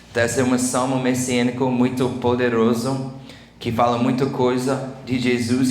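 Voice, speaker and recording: Noticeable background noise and audible room echo accompany a man speaking at a fairly slow pace in a medium pitch. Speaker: preacher. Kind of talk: sermon.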